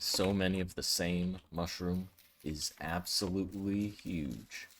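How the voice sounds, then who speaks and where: A quiet man's very deep, low voice at a very slow pace, with fairly even intonation. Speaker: gaming streamer. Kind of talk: let's play commentary. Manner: quiet, focused.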